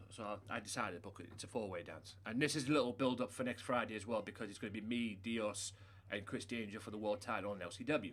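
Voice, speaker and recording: A man with a British accent speaks very fast in a fairly low pitch, his intonation fairly even. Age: 30s. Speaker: gaming livestreamer. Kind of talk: casual chat. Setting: live stream.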